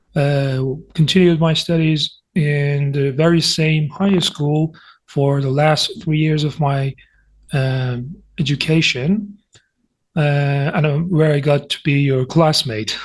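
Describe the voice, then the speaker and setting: Speaking at a very slow pace, a man with a fairly high voice sounds somewhat breathy, his intonation fairly even. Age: 20s. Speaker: university student. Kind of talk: casual interview chat. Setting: online video call.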